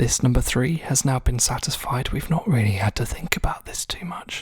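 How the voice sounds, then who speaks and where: Someone whispers in a calm, relaxed tone. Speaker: ASMR tutorial host. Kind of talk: instructional tutorial narration. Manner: soft-spoken, calm, relaxed.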